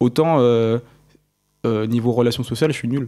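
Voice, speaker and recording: A man at medium pitch with fairly even intonation, on a very clean recording with a silent background. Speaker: engineering student. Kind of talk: casual interview. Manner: fast.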